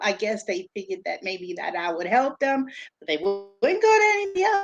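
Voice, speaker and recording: This woman speaks with a New York accent. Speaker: special education teacher and tutor. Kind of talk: live-stream interview.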